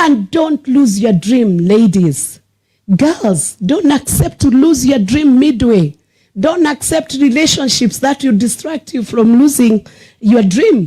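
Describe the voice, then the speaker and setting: A dark, mellow tone at a very slow pace, with very wide pitch swings and very even loudness. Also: woman. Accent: Kenyan. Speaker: senator. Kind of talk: motivational speech. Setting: school prize-giving ceremony with audience. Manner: exhortative.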